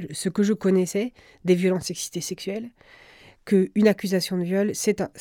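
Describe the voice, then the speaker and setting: A dark, mellow tone at a moderate pace, with fairly even intonation, on a very clean recording with a silent background. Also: woman. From France, Brittany (Rennes). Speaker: journalist and editor. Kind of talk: interview. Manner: halting.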